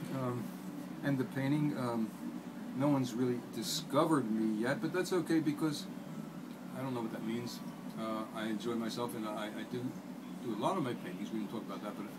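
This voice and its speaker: A man at a fairly quick pace with ordinary pitch variation, against loud background noise. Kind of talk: interview answer. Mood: reflective, relaxed. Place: gym. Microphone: phone near.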